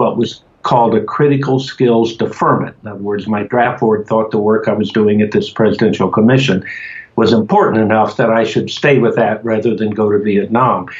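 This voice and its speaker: Speaking at a fairly quick pace, a man with an American accent has a medium pitch and ordinary pitch variation. Noticeable background noise runs under his voice. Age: 70s. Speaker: cannabis activist. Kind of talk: interview. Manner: hesitant with fillers.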